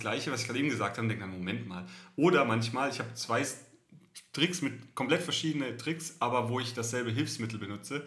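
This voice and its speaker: Speaking very fast in a southern German accent, the voice has a bright, sharp tone, vocal fry and ordinary pitch variation, with audible room echo in the recording. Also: man. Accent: southern German intonation, still audible. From southern Germany. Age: 30s. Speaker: podcast co-host. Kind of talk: casual chat.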